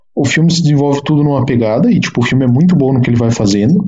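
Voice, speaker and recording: Amid noticeable background noise, a man talks very fast in a fairly high pitch with ordinary pitch variation. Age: 20s. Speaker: engineering student and independent writer. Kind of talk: casual chat.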